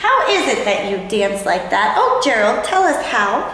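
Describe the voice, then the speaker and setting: A woman performs a put-on character voice at a moderate pace. There is a clear echo. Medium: read story.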